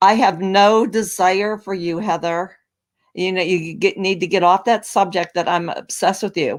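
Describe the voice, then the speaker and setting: The recording is very clean, with a silent background. A woman with a medium pitch speaks at a moderate pace. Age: 60s. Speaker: YouTube creator. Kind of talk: heated debate. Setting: live stream. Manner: animated.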